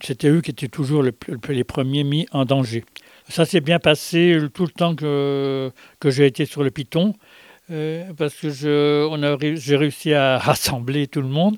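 A man's fairly high voice at a very slow pace, fairly even in intonation, in a dry, close sound with no echo. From France. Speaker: war veteran. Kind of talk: interview testimony. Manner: halting, repeats words.

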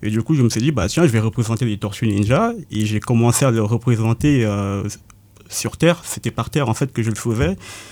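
A man speaks at a fairly quick pace in a medium-pitched, dark, mellow voice with ordinary pitch variation. The recording is very clean and the background silent. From Cameroon, Yaoundé. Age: 20s. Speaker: painter. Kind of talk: interview. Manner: halting, many hesitations.

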